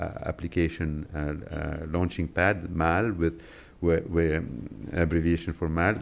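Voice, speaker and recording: A moderately paced male voice, pitched very deep and low. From Lebanon. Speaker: tech company policy executive; conference panelist. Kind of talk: press conference presentation. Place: hall. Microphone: podium.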